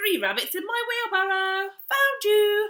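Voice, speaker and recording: A squeaky put-on character voice with fairly even intonation at a fairly slow pace. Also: woman. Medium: read story. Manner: warm, kindly.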